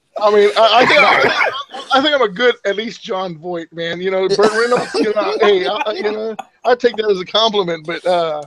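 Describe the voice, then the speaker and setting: A high-pitched man with an American accent, at a moderate pace with ordinary pitch variation. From Texas. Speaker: gaming podcast co-host. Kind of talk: casual chat.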